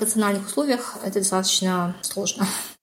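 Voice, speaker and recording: A somewhat breathy woman's voice with ordinary pitch variation at a moderate pace. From Kazakhstan. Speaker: political science researcher and assistant professor. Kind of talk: interview.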